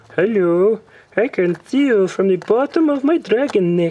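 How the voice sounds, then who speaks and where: A put-on character voice with a fairly high pitch moves at a moderate pace. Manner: mocking, taunting.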